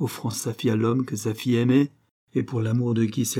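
Behind it all the background is quiet. The clip is plain reading aloud.

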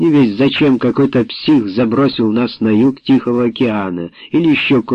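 Text simply read out loud

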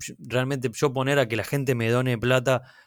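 A man with a Rioplatense accent at medium pitch and fairly quick pace, on a very clean recording with a silent background. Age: 30s. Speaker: comedian and content creator. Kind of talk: casual chat.

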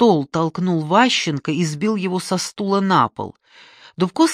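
Against a quiet background, someone is reading aloud in a natural voice with ordinary pitch variation.

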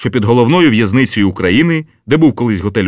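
The speaker reads aloud in a plain manner. The intonation is lively.

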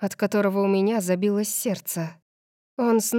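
Fairly even intonation marks a natural reading voice, heard against a quiet background.

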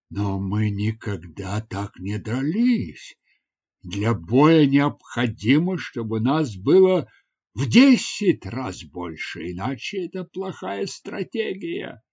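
A man's put-on character voice at medium pitch, with big pitch swings, a slightly husky edge, a slightly mellow tone and a slow pace

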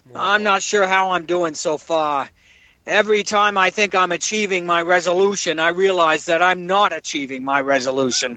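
An American accent from a man with a high pitch, ordinary pitch variation and a moderate pace. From New Jersey. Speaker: listener calling in. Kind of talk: comedic voicemail monologue. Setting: phone message.

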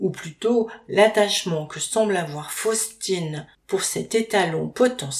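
This clip features an unforced reading voice.

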